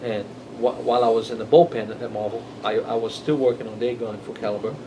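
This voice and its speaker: With a Brazilian Portuguese accent, the speech runs at a very fast pace in monotone, flat intonation, with audible room echo and noticeable background noise. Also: man. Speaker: comic book artist. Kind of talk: interview. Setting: in-store signing at comic shop. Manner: halting, many fillers and repetitions.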